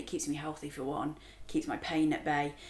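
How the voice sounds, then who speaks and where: A woman with an English accent talks at a fairly quick pace. Her pitch is very deep and low. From England. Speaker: spirits brand co-founder. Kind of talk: casual interview chat.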